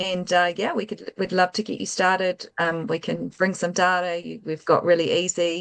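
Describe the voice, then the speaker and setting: A woman with a New Zealand accent, fairly low in pitch, at a moderate pace over a quiet background. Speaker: tech company founder and CEO. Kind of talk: interview.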